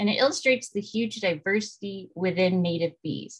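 The background is quiet. A woman talks at a moderate pace in a somewhat breathy voice. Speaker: presenter. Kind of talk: lecture. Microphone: webcam.

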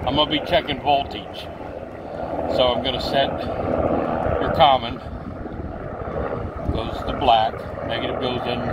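Amid loud background noise, a man speaks with long, frequent pauses in a dry sound with no echo. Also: moderate pace. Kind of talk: tutorial. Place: garden. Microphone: phone near.

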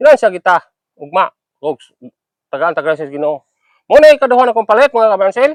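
Speaking at a very fast pace with long, frequent pauses, a man with a high-pitched voice swings very widely in pitch, recorded dry and close with no echo. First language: Cebuano (speaking Tagalog). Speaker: cattle-raising vlogger. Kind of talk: casual vlog narration.

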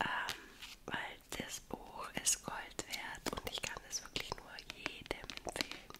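A woman whispers in a relaxed tone at a very slow pace. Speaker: ASMR creator. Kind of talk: ASMR book recommendations to camera. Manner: soft, relaxed, cozy, whispering. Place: home room. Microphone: studio mic.

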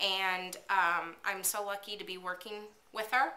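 Her tone is bright and sharp, set at a medium pitch. The woman speaks very slowly. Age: 40s. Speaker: vlogger, work-at-home mom; vlogger. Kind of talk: casual vlog monologue. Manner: hesitant, many fillers. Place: kitchen. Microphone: webcam.

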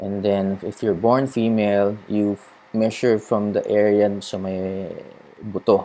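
In a Filipino accent, a man speaks at a fairly slow pace with a fairly low pitch, a dark, mellow tone and monotone, flat intonation. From Philippines. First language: Tagalog. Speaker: cycling vlogger. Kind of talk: tutorial. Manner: casual Taglish code-switching.

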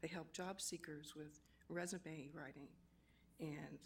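A woman's very deep, low, monotone voice at a moderate pace, with audible room echo. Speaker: public commenter at city council. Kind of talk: public comment speech. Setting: council chambers.

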